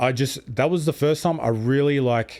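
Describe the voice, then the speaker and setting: At a moderate pace and with lively intonation, a man with an Australian accent speaks on a very clean recording with a silent background. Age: 30s. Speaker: streamer and podcast host. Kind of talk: casual interview chat. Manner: rambling, many fillers.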